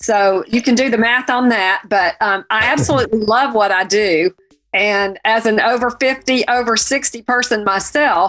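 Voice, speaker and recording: With a slight Southern US accent, a woman speaks at a fairly high pitch and a moderate pace, her loudness very even and her pitch variation ordinary, as music plays in the background. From US South. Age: 60s. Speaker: fashion and home decor blogger. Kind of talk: online community talk.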